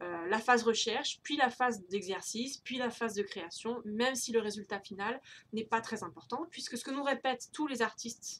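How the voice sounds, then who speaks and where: A woman talks at a moderate pace. Her fairly high pitch shows ordinary variation. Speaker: tarot and creativity YouTuber. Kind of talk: casual monthly update vlog. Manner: hesitant, many fillers.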